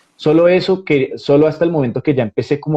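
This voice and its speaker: A man with a Bogotá accent speaks at a fairly quick pace. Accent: Bogotá Colombian Spanish. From Colombia, Bogotá. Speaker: actor. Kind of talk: interview.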